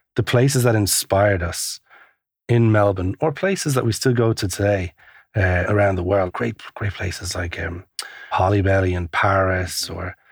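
A man's somewhat breathy, fairly low voice in an Irish accent, at a moderate pace with ordinary pitch variation, in a dry, close sound with no echo. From Ireland, Kilkenny. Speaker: coffee shop entrepreneur. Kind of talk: interview.

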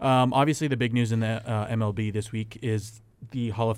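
On a very clean recording with a silent background, a man speaks at a medium pitch and a fairly quick pace in a plain, everyday voice. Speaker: sports podcast host. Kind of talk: casual sports banter.

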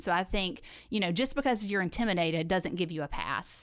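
A woman with a Southern US accent speaks at a fairly low pitch with ordinary pitch variation. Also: very clean recording, silent background. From US South, south Alabama. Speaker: church member and women's ministry deacon. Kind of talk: casual chat.

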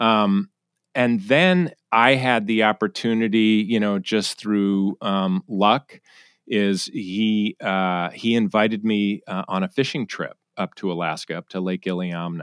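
A man with a plain, everyday voice speaks at a fairly low pitch and a fairly slow pace, with ordinary pitch variation. The recording is very clean with a silent background, dry and close with no echo. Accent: American. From US Northeast, Connecticut. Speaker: guest. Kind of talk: interview.

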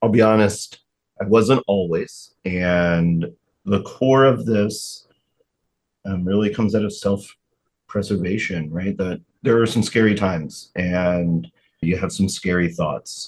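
Speaking fairly slowly with long, frequent pauses, a man uses a fairly low pitch and ordinary pitch variation. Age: 40s. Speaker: guest sharing mental health story. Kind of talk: interview. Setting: studio.

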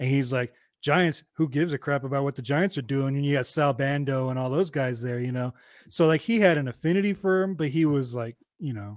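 A man with an American accent, a normal speaking voice, fairly high pitch for a man, ordinary pitch variation and a fairly quick pace, in a dry, close sound with no echo on a very clean recording with a silent background. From US West, Hayward, California. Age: 40s. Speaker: podcast host. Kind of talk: casual chat.

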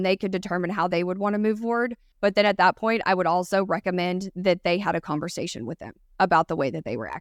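A woman with a Texan accent at medium pitch, ordinary pitch variation and a very fast pace, in a very clean recording with a silent background, dry and close with no echo. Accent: Texan Southern US. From Texas. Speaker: recruiting podcast co-host. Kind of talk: casual chat. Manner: fast talker; animated.

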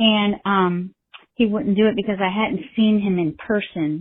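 A woman with an American accent speaks at a moderate pace in a plain, everyday voice, her pitch medium for a woman. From Ohio, US Midwest. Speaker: listener calling in with a question. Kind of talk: recorded voicemail question.

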